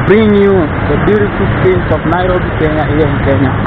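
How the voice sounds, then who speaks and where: The recording is dry and free of echo. Loud background noise sits behind a man's speech. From Kenya. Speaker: YouTube vlogger. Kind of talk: walking vlog narration. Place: street. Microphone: phone near.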